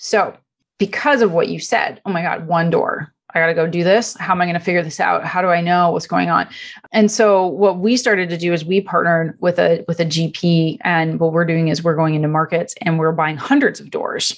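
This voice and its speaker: Delivered fairly quickly, the speech shows ordinary variation in pitch. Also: woman, fairly low pitch for a woman. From Canada. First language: Italian. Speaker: real estate investor. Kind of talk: interview.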